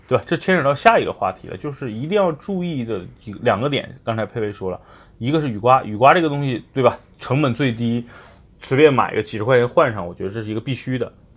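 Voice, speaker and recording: A man at medium pitch, talking at a very fast pace with lively intonation over a quiet background. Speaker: car advice podcast host. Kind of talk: casual chat.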